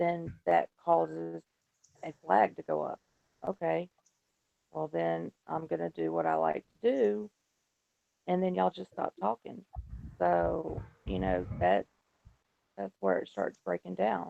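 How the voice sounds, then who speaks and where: The man speaks quietly and at a fairly slow pace, with long, frequent pauses. The sound is dry and close, with no echo. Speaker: panelist. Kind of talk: casual group discussion. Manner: quiet, low volume.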